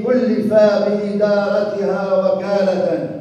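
A man speaks with strong room echo. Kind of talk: funeral eulogy and scripture reading. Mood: solemn, mournful. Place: church. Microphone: podium.

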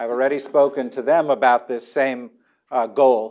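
A quiet background behind a man speaking. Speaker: debate moderator. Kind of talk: moderator introduction to audience. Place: hall. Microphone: lapel.

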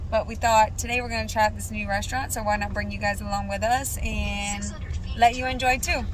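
There is noticeable background noise as a woman speaks, the sound dry with no echo. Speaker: family vlogger. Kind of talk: casual vlog chat. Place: car. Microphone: phone near.

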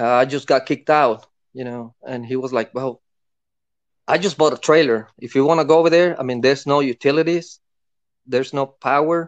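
Over a quiet background, a man with a plain, everyday voice talks at a fairly quick pace. His pitch is fairly high and his intonation fairly even. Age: 50s. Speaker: caller sharing paranormal experiences; caller. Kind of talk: casual storytelling. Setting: call-in to a livestream. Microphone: phone line.

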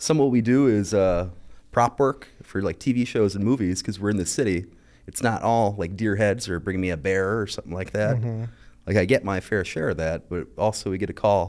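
A man speaks at a fairly quick pace in a fairly low pitch, with ordinary pitch variation. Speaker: guest. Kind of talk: interview answer. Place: studio. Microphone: studio mic.

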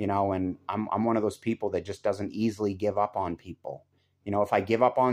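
A man speaks in an ordinary speaking voice at a fairly low pitch. His intonation is fairly even against a quiet background. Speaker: relationship commentator. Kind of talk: casual vlog chat. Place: home room. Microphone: phone near.

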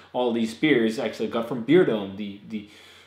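There is audible room echo around the man speaking. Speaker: beer reviewer. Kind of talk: casual vlog chat. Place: home room. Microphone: camera far.

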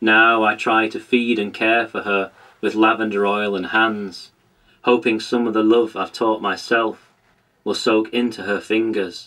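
Man with a British accent, fairly low pitch, gentle tone, monotone and flat intonation, fairly slow pace, quiet background. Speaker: poet. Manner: gentle, measured and reflective, lingering on tactile imagery; earnest and self-deprecating when talking about his contribution.

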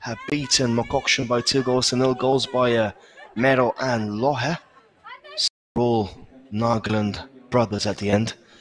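Against noticeable background noise, a man with a medium pitch and ordinary pitch variation speaks with long, frequent pauses. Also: fairly slow pace. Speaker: football commentator. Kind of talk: live sports commentary. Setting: outdoors at stadium, live match. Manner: chatty, laughs and banters.

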